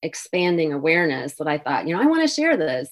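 The recording is very clean, with a silent background. A woman talks at a fairly low pitch in a Midwestern American accent. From US Midwest (Minnesota, Indiana). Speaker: author and retired French teacher. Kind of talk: interview. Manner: halting.

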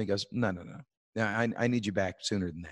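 A man with a Canadian accent and an ordinary speaking voice, fairly low in pitch, at a fairly quick pace, on a very clean recording with a silent background and a dry, close sound with no echo. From Canada. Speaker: musician. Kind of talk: casual chat.

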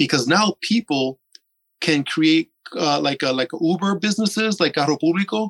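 A man with an unremarkable speaking voice talks at a fairly high pitch and a moderate pace, with ordinary pitch variation, in a dry, close sound with no echo. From US, Puerto Rican diaspora. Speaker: author and pro-sovereignty activist. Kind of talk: interview.

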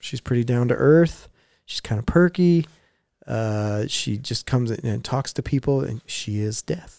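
A man talks at a fairly slow pace with a medium pitch and a dark, mellow tone, his intonation lively. The sound is dry and close with no echo, on a very clean recording with a silent background. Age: 30s. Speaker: music podcast co-host. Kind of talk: casual chat.

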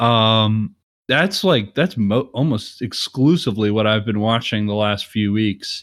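A man speaks at a fairly slow pace with ordinary pitch variation. He has an unremarkable speaking voice. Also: medium pitch for a man. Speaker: podcast host. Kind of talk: casual chat about movies. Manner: chatty, laughs often, interrupts.

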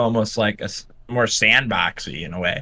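A plain, everyday voice at a moderate pace. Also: man. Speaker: guest. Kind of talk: casual chat.

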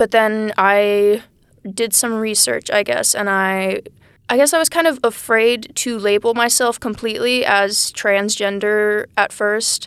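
A woman with an American accent and an unremarkable speaking voice talks at a fairly slow pace with fairly even intonation on a very clean recording with a silent background. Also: fairly high pitch for a woman. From Texas. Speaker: college student. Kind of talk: casual chat. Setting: small room, podcast interview.

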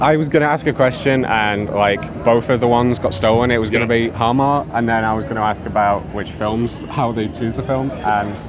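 A man speaks with hardly any pauses, with audible room echo and noticeable background noise around him. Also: medium pitch for a man, fairly even intonation, fairly quick pace. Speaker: convention correspondent. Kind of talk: casual interviews. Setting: convention floor.

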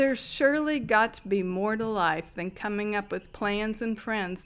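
Delivered in a plain, everyday voice, the speech has a moderate pace and ordinary pitch variation. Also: woman. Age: 60s. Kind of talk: testimony.

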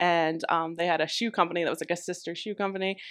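A woman with an American accent speaks at a very fast pace in a fairly low pitch, her intonation monotone and flat. The background is quiet. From US Midwest, northeastern Ohio (Trumbull County). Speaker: travel nurse and social media influencer. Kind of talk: casual interview.

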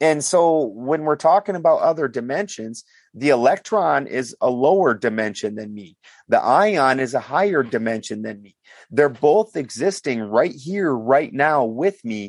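Over a quiet background, a man with an American accent talks at a fairly high pitch with lively intonation and big swings in loudness. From South Dakota / Minnesota, US Upper Midwest. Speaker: alchemy researcher / podcast guest. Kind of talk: casual interview. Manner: rambling, run-on explanations.

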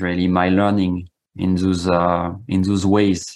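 A man speaks in a very deep, low pitch at a moderate pace. His intonation is monotone and flat. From Corsica. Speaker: shamanic practitioner. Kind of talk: interview. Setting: video call.

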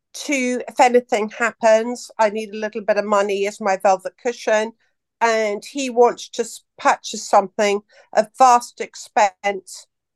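In a normal speaking voice, the speaker goes at a fairly slow pace, the sound dry and close with no echo. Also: woman. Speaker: caller asking a question. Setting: call.

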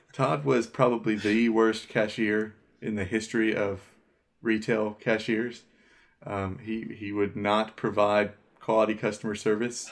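A man's normal speaking voice, fairly low in pitch, fairly slow and fairly even in intonation, over a quiet background. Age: 30s. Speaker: podcast co-host. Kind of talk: casual chat.

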